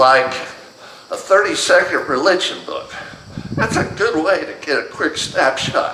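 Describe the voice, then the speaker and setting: A man talks at a fairly slow pace, with noticeable background noise and audible room echo around him. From US, moved around (Pennsylvania to Texas). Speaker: religion teacher and church elder. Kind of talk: lecture. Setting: church class with audience.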